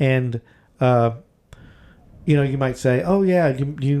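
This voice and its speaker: This man has a medium pitch and a dark, mellow tone. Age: 50s. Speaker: podcast co-host. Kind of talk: casual chat. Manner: halting.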